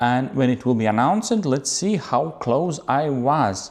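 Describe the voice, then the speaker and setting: A man's fairly high voice with a non-native accent, very wide pitch swings and a fairly slow pace, on a very clean recording with a silent background. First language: not English. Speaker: photographer. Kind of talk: camera talk to viewers. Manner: halting.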